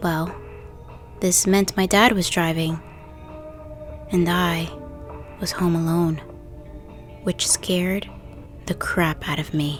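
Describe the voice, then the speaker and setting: With music in the background, a woman speaks at a very slow pace with fairly even intonation and long, frequent pauses. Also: fairly low pitch for a woman. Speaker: horror story narrator. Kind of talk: true scary story narration.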